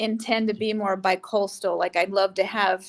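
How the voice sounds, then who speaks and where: At a moderate pace, a woman with an American accent speaks at medium pitch in an ordinary speaking voice. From California, US (San Jose). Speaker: actress and entrepreneur. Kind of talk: interview.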